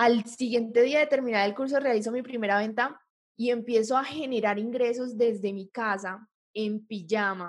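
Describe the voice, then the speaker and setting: Using ordinary pitch variation, a woman with a fairly high pitch speaks at a moderate pace. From Colombia, Popayán. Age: 20s. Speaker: electronic engineer and digital entrepreneur. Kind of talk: interview testimony.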